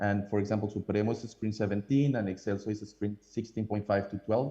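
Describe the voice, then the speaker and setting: A man with a Colombian accent, fairly low in pitch, with a dark, mellow tone at a very fast pace. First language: Spanish. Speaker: coffee importer. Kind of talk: presentation with slides. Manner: hesitant with many fillers.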